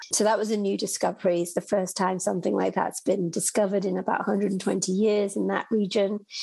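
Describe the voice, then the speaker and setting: A woman with a British accent talks at a fairly quick pace in a dark, mellow tone, her medium-pitched voice monotone and flat, with vocal fry. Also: hardly any pauses. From United Kingdom. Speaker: executive director of ocean research nonprofit. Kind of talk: interview.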